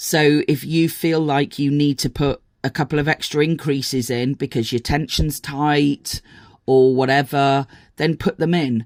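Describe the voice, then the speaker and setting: The speaker has a British accent and talks at a fairly slow pace. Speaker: crochet teacher and pattern designer. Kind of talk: tutorial. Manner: hesitant, many fillers.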